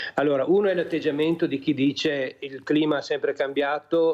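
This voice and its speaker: A man's flat, monotone delivery at a moderate pace, with noticeable background noise. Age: 60s. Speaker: journalist and climate commentator. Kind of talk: TV talk show discussion. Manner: halting, many fillers.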